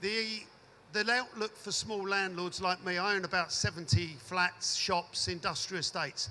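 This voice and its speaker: A man uses a raised, projected voice with a high pitch and a bright, sharp tone. His pace is moderate and his pitch varies in an ordinary way. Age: 60s. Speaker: audience member, landlord. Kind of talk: audience question at panel debate.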